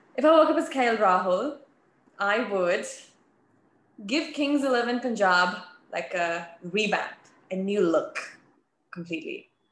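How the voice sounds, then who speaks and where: Long, frequent pauses from a woman at a fairly slow pace, very wide pitch swings, and audible room echo. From Australia. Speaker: sports TV presenter; TV presenter. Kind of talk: casual interview. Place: home room. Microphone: video call.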